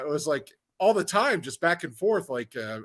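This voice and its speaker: A man's raised, projected voice with an American accent, bright and sharp, swinging widely in pitch. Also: very clean recording, silent background. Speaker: podcast guest, sports card collector. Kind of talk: casual chat.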